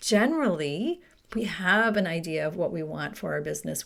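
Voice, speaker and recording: In a very clean recording with a silent background, a woman with an unremarkable speaking voice talks at a moderate pace and medium pitch. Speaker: retail coach and podcast host. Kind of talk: solo podcast talk.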